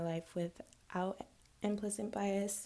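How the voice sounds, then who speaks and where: A woman speaks very slowly in a medium pitch. Her intonation stays fairly even. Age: 20s. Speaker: college student. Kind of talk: class assignment video, personal reflection. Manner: hesitant, many filler words.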